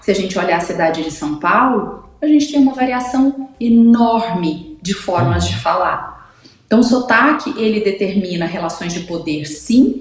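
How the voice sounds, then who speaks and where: Over noticeable background noise and audible room echo, a woman speaks fairly slowly in a medium pitch with very wide pitch swings and hardly any pauses. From Brazil, Goiás (Goiânia). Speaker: speech therapist, communication columnist. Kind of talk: radio interview column.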